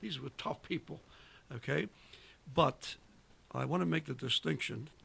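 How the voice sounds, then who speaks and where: With vocal fry and a bright, sharp tone, a man speaks at a moderate pace and medium pitch, his pitch swinging very widely. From Italy. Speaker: war veteran. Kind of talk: casual chat. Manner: animated.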